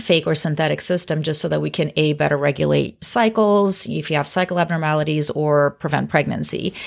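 On a very clean recording with a silent background, a woman with an American accent speaks fairly quickly with hardly any pauses, her very deep, low voice showing ordinary pitch variation. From US Pacific Northwest. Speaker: OB-GYN doctor. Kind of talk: casual educational chat. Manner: fast. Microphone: very close to the microphone.

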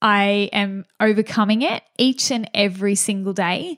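The speaker sounds upbeat in an Australian accent, the sound dry and close with no echo. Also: woman. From Australia, regional New South Wales. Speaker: podcast host, small business coach and photographer. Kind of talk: solo podcast monologue.

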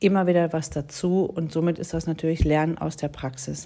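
A woman with a fairly low pitch and a dark, mellow tone talks at a moderate pace in a flat monotone, captured in a very clean recording with a silent background. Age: 40s. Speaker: mediator and podcast host. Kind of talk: solo podcast monologue. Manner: hesitant with fillers.

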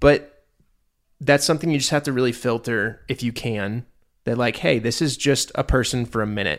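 A man speaks at a moderate pace in a medium pitch, with ordinary pitch variation and an ordinary speaking voice. The recording is very clean, with a silent background. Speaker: podcast co-host. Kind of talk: casual chat. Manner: playful.

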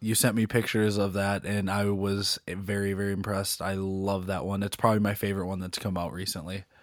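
The recording is very clean, with a silent background. A man speaks at a fairly low pitch and fairly quick pace, monotone and flat, with hardly any pauses. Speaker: podcast co-host. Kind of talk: casual chat.

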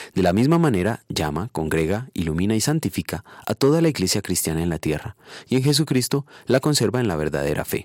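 Recorded dry and close with no echo, a man with a fairly low pitch talks at a fairly quick pace with very wide pitch swings. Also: very clean recording, silent background. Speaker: preacher. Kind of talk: devotional sermon ending in a prayer. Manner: solemn, earnest, formal; measured, reverent, pastoral.

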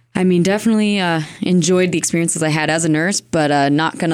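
A woman with an American accent and a fairly low pitch at a very fast pace, with noticeable background noise. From Florida, Merritt Island. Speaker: nurse and podcast co-host. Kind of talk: casual chat.

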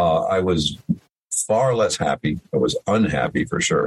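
The speaker, with an American accent, goes at a very slow pace through very wide pitch swings. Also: man. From New York State (Hudson Valley). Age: 70s. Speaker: retired musician. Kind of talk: interview. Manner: halting, many fillers.

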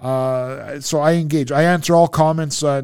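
A man with a Toronto accent speaks at a fairly high pitch. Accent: Canadian (Toronto) English. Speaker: food reviewer on social media. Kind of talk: casual interview chat. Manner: animated, rambling storytelling.

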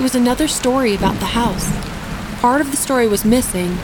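Speech moves at a fairly quick pace. There is noticeable background noise. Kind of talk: horror narration.

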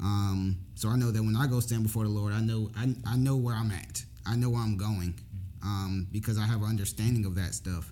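The speaker has an American accent and a somewhat breathy voice, moving at a fairly quick pace. Pitch varies in an ordinary way, and audible room echo surrounds the words. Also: man. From Jacksonville, Florida. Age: 20s. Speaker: former law enforcement officer. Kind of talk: casual chat.

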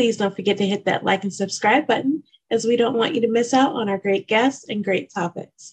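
A woman's voice sounds somewhat breathy. She talks fairly quickly, her pitch varying in an ordinary way. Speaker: podcast co-host.

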